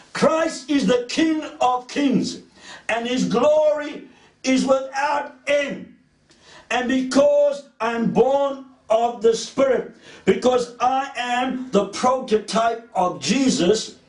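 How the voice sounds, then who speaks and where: Very slow speech with ordinary pitch variation and audible room echo. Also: man, extremely high pitch for a man. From South Africa, Cape Town (Woodstock). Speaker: preacher. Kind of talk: sermon.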